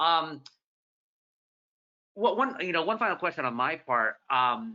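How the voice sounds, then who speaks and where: Swinging very widely in pitch, a man with an American accent speaks at a fairly high pitch. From Southern California, Orange County. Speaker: newspaper columnist and moderator. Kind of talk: moderated author conversation. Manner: fast; animated.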